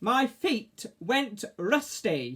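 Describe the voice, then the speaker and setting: A shrill, put-on character voice at a fairly high pitch. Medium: read story. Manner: snappish, shrieking.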